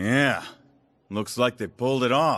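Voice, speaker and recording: Over a quiet background, a man puts on a raspy character voice at a medium pitch, moving at a fairly slow pace. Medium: video game. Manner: gruff, blunt.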